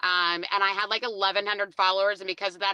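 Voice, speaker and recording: A woman talks very fast and loud at a medium pitch, her tone animated and bright, sharp. The sound is dry and close, with no echo. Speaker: motorcycle rider, podcast guest. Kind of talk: casual chat.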